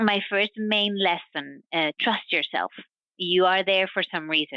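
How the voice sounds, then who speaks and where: Medium pitch from a woman with a non-native accent, fairly even intonation, very even loudness and a fairly slow pace. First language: not English, English is third or later. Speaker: science diplomacy professional. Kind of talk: interview. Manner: halting, with fillers and repetitions.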